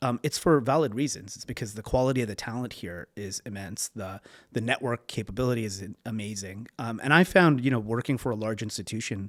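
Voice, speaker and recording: A man with a Canadian accent at a medium pitch and fairly quick pace, hardly any pauses, ordinary pitch variation, and big swings in loudness, in a dry, close sound with no echo on a very clean recording with a silent background. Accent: Canadian, still noticeable. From Canada, Toronto. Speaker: venture capital investor. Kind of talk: interview. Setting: in person.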